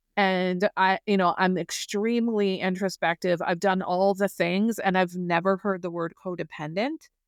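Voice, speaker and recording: Here is an unremarkable speaking voice from a woman at a medium pitch, moving at a moderate pace with hardly any pauses. The sound is dry and close, with no echo. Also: fairly even intonation, very clean recording, silent background. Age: 60s. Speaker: guest sharing recovery story. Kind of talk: podcast interview, personal testimony.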